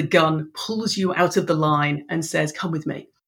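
At a moderate pace, a woman talks in an English accent. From Ireland. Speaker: business coach. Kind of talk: casual interview chat.

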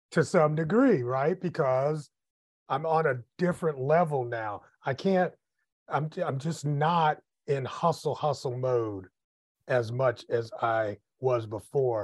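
A man with an American accent speaks very slowly in a somewhat breathy voice, with long, frequent pauses and ordinary pitch variation. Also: fairly high pitch for a man, quiet background. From US Midwest. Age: 50s. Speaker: podcast host, entrepreneur and author. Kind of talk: casual interview.

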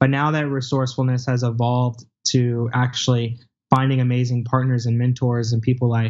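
A man speaks at a fairly quick pace in a medium pitch, his intonation flat and monotone. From rural small town. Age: 20s. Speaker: entrepreneur. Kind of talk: interview.

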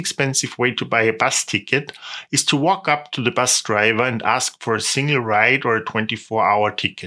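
With a German accent, a man talks at a moderate pace in a bright, sharp tone, recorded very cleanly against a silent background. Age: 30s. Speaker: tour guide. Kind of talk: podcast monologue, travel tips.

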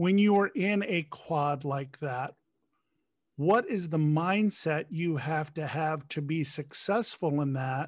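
A man talks very slowly in a fairly high voice. The recording is very clean, with a silent background. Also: ordinary pitch variation. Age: 50s. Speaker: podcast host. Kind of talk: interview.

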